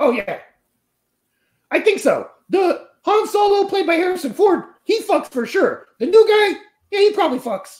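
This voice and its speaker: An extremely high-pitched, cartoonish character voice moves at a moderate pace with long, frequent pauses. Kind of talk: crude comic puppet banter. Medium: puppet show. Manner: loud, brash, needy.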